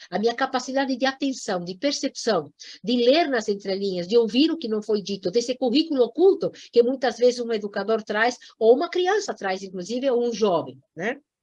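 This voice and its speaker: Her tone animated and her intonation lively, a woman talks at a moderate pace in a high pitch. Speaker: environmental education lecturer. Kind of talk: lecture.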